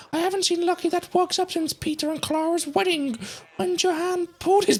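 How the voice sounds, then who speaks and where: Someone delivers a put-on character voice at a fairly quick pace. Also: woman, extremely high pitch for a woman. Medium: game stream. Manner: brisk, blunt.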